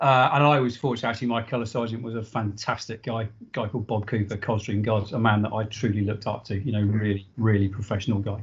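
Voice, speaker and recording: Somewhat breathy and flat in a monotone, a man talks at a very fast pace. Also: fairly low pitch for a man. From southern England, Dorset (army family, moved around). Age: 40s. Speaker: army veteran. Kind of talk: casual interview. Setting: video call.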